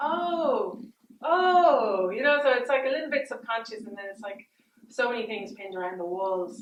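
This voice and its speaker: In an Irish accent, a woman talks at a moderate pace with lively intonation. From Ireland. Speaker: artist. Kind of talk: public artist talk. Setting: gallery event with audience.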